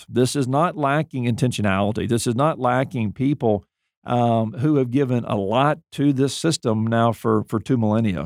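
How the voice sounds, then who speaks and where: Recorded very cleanly with a silent background, a dry, close voice with an American accent keeps very even loudness at a moderate pace with hardly any pauses. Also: man. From US South, Mobile, Alabama. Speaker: podcast host, seminary president. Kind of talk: interview. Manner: halting, many fillers.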